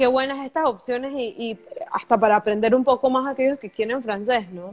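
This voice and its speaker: Her loudness swinging widely, a woman with a high pitch talks at a fairly quick pace. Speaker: podcast host. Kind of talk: casual interview. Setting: live stream video call.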